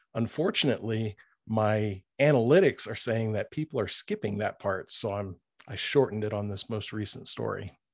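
Against a quiet background, a man with a normal speaking voice talks at a moderate pace with fairly low pitch and ordinary pitch variation. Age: 40s. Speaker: horror fiction narrator on video channel. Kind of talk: casual chat. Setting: video call.

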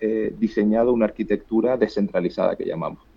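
A man speaks with a Canarian accent. His voice sits at a fairly low pitch. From Canary Islands. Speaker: startup co-founder and CEO. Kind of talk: interview. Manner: halting, repeats words.

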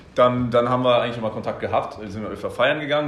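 With ordinary pitch variation, the voice rushes along at a very fast pace. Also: man. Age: 20s. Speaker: business consultant. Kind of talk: casual chat.

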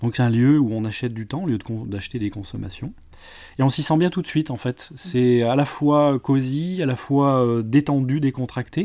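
Medium-pitched male voice, dark and mellow in tone, at a moderate pace with ordinary pitch variation, on a very clean recording with a silent background. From Lyon area, France. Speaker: digital marketing consultant and trainer. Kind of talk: interview. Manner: hesitant, many fillers.

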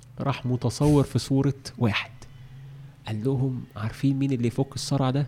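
A man's somewhat breathy voice has a dark, mellow tone and medium pitch, moving at a moderate pace. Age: 40s. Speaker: trainer in education and development. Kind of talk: casual interview conversation. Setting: studio. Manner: animated.

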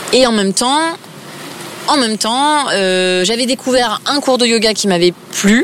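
A woman's fairly high voice, fairly slow with long, frequent pauses and ordinary pitch variation, over noticeable background noise. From eastern France (Épinal, Vosges). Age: 30s. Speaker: yoga teacher. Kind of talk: casual interview. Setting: outdoors, park bench.

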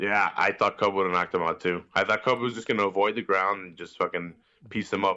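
Talking at a very fast pace in a Chicago accent, a man with a fairly low pitch keeps a monotone, flat intonation while his loudness swings widely. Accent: Chicago American. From Chicago, Mexican-American family. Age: 20s. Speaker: wrestling podcaster. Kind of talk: casual chat. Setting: online call.

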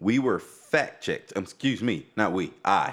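A man speaks at a fairly slow pace with lively intonation and a low pitch. The recording is very clean, with a silent background. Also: fairly bright tone.

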